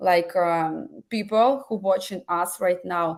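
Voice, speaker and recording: The speaker has a non-native accent, ordinary pitch variation, and a very slow pace. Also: woman. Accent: foreign. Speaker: webinar host. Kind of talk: webinar interview. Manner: halting.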